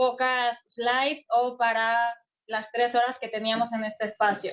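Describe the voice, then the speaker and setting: A woman's high voice unfolds at a fairly slow pace. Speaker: UN refugee agency officer, lecturer. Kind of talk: lecture. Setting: classroom session, also streamed online.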